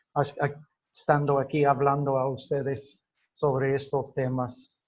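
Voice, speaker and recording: Very slowly and somewhat breathily, a man with a non-native accent speaks at a fairly high pitch. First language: English (speaking Spanish). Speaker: linguistics teacher. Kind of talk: lecture. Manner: halting, many fillers and self-corrections.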